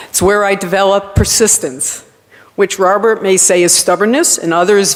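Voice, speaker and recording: A woman speaks in a Rhode Island accent at a medium pitch and moderate pace, with ordinary pitch variation. Noticeable background noise is present. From Rhode Island, US. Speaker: college campus director. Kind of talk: award acceptance speech.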